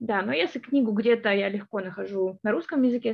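This woman's pitch is medium. She talks fairly quickly. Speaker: linguistics graduate student. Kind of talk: interview. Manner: hesitant, with fillers.

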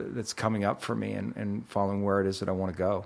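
A man with a plain, everyday voice and a fairly low pitch. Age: 50s. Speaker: actor turned workshop leader. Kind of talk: casual interview.

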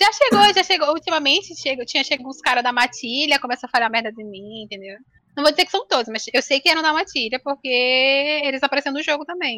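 A woman's high, bright, sharp voice, raised and projected, with lively intonation, a very fast pace, big swings in loudness and a dry, close sound with no echo. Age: 20s. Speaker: game streamer and architecture student. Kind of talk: casual chat. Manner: nervous, shaky.

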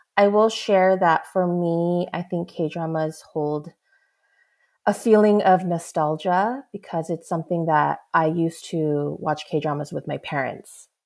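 Speaking with an American accent, a woman has a plain, everyday voice at fairly low pitch, captured in a very clean recording over a silent background. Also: ordinary pitch variation, fairly slow pace. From United States, Korean American. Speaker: K-reality social media creator. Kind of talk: casual chat.

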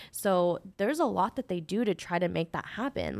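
Against a silent background in a very clean recording, a woman talks at a moderate pace. She has an ordinary speaking voice with lively intonation. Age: 20s. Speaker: podcast co-host. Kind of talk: casual chat.

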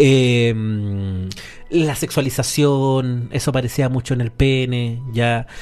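A man speaks at a very slow pace with a Chilean accent, his intonation fairly even. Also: medium pitch for a man. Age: 40s. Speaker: radio host. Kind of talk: casual chat.

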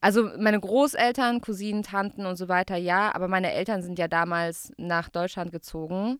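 The recording is very clean, with a silent background. A woman with a medium pitch talks in a normal speaking voice at a moderate pace, with ordinary pitch variation. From Baden-Württemberg, Gaggenau. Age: 30s. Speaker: radio host. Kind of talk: casual chat.

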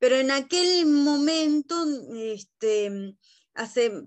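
A woman talks with a Rioplatense accent and ordinary pitch variation. The background is quiet. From Uruguay, Montevideo. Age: 30s. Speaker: guest, adoptee. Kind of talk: casual chat. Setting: video call.

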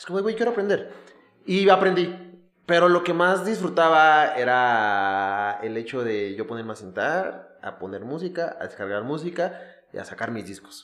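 A man speaks with a fairly high voice. Both his pitch and his loudness swing widely. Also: moderate pace. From Mexico (Ecatepec, State of Mexico). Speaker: podcast host, comedian and DJ. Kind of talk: casual chat.

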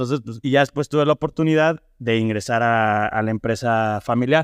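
With an unremarkable speaking voice, a man of medium pitch talks at a fairly quick pace and fairly even intonation, recorded dry and close with no echo against a quiet background. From Mexico, Irapuato (Guanajuato). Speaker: family business manager in construction. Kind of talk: interview.

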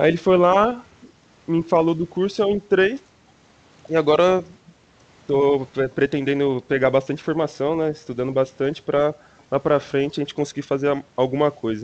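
A man with a fairly high pitch, ordinary pitch variation, a moderate pace, and long, frequent pauses. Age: 20s. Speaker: university student. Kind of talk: casual chat.

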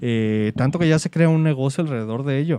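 Dry and close with no echo, a man's voice comes through at a medium pitch with ordinary pitch variation and a dark, mellow tone. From Mexico, Guadalajara. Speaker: podcast host. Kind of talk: casual chat.

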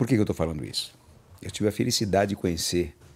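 A man with vocal fry and lively intonation. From Bahia, raised in São Paulo from age four. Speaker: kung fu master. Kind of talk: interview conversation.

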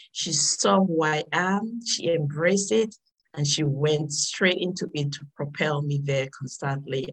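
A woman speaks at a fairly slow pace in a very deep, low pitch. Her somewhat breathy voice shows ordinary pitch variation. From Dominica. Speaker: motivational speaker and author. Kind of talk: interview.

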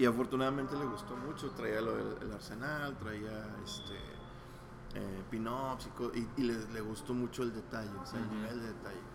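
There is audible room echo and noticeable background noise as a man talks at a moderate pace with fairly even intonation. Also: medium pitch for a man. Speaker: comic artist and studio head. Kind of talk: casual interview.

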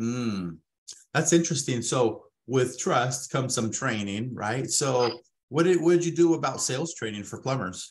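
A man's moderately paced delivery in a normal speaking voice, medium in pitch, with lively intonation. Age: 30s. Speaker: podcast host. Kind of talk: sales pitch; interview.

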